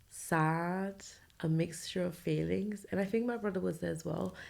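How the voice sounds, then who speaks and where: A quiet woman's voice at a moderate pace. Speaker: podcast host. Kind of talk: personal storytelling monologue. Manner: speaking quietly.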